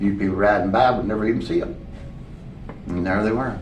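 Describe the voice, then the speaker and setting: A man speaks at a fairly low pitch with ordinary pitch variation. Noticeable background noise runs through the clip. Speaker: former sheriff and county judge executive, musician. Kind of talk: oral history interview answer. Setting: library interview recording. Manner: casual, storytelling.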